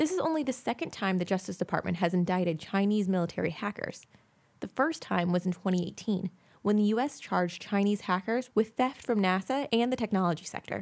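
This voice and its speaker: A woman speaks at a fairly quick pace with lively intonation and a medium pitch, in an unremarkable speaking voice. The recording is very clean, with a silent background. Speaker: news reporter. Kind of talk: news reading, scripted tech news bulletin. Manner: formal; steady, brisk and even-paced, newsreader delivery.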